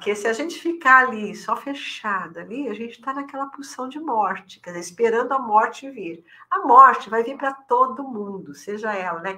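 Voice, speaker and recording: A woman with a fairly high pitch talks at a moderate pace, with lively intonation, big swings in loudness and hardly any pauses. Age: 60s. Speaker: elder care specialist. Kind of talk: podcast interview. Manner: hesitant, many fillers.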